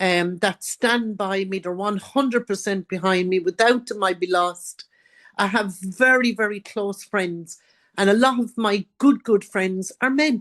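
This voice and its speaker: Recorded dry and close with no echo against a quiet background, a woman of medium pitch speaks at a fairly slow pace. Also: ordinary pitch variation. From Ireland, County Carlow. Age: 70s. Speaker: author and abuse survivor. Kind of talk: interview.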